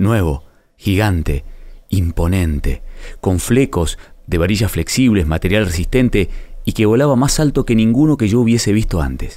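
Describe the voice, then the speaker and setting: A man speaks at a moderate pace in a fairly low pitch, with a dark, mellow tone and lively intonation. His loudness is very even, on a very clean recording with a silent background. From Argentina (Río Negro, Patagonia). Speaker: writer narrating a personal story. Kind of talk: scripted narration.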